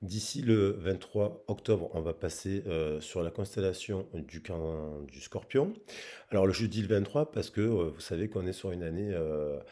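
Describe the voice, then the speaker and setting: Over a very clean recording with a silent background, a man speaks at a fairly slow pace in a dark, mellow tone with a very deep, low pitch and ordinary pitch variation. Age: 40s. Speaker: tarot reader. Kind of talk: tarot reading. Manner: halting.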